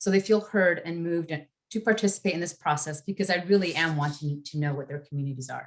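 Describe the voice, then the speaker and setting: A woman with a Spanish accent, very deep and low in pitch, at a very fast pace. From northern California, Yolo County. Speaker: redistricting commissioner. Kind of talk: prepared introductory remarks in a webinar.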